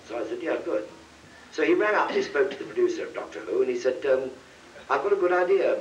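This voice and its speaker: A man with an English accent, talking at a very fast pace broken by long, frequent pauses. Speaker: actor. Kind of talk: anecdote told on convention panel. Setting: convention panel, live audience.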